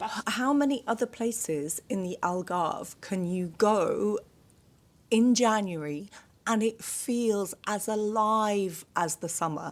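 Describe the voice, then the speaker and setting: Very slowly, a woman with a British accent speaks at a fairly high pitch with ordinary variation, recorded very cleanly over a silent background. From Britain. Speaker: podcast co-host. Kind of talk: casual interview chat.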